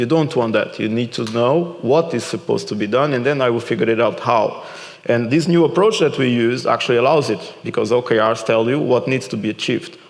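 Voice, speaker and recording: With noticeable background noise and audible room echo, a man with a Portuguese accent speaks fairly quickly at a medium pitch with ordinary pitch variation. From Portugal. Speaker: keynote speaker and author. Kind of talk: conference Q&A.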